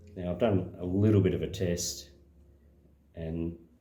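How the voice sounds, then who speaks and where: A man with a dark, mellow tone speaks at a moderate pace and with fairly even intonation, with audible room echo. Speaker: slot car hobbyist and video maker. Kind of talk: casual demonstration tutorial. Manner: hesitant, many fillers.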